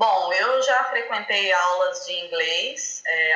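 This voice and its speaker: In a room with audible echo and noticeable background noise, a woman speaks at medium pitch with ordinary variation. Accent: Minas Gerais. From Brazil, southern Minas Gerais (Poços de Caldas). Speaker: physiotherapist, language student. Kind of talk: interview.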